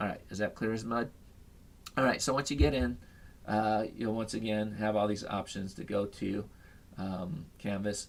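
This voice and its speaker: A man speaks at a fairly low pitch with ordinary pitch variation, leaving long, frequent pauses. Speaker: high school teacher. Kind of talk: tutorial. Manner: fast.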